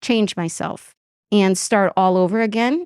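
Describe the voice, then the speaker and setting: In a very clean recording with a silent background and a dry, close sound with no echo, a woman speaks at a moderate pace in a medium pitch with ordinary pitch variation. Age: 60s. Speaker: recruiter, business owner. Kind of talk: testimonial interview. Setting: conference event. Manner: hesitant with fillers.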